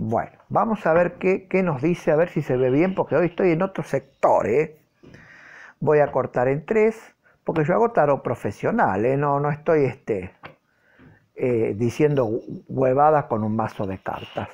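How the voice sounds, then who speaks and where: The speech moves at a fairly slow pace. The background is quiet. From Argentina. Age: 40s. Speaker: tarot reader. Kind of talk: tarot reading monologue to camera. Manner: hesitant, many fillers. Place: home room. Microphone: phone near.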